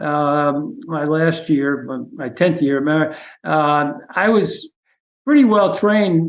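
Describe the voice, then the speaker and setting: The speaker talks at a very slow pace in a New York accent. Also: man. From New York City (the Bronx). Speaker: retired university president. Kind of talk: interview. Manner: hesitant, many fillers.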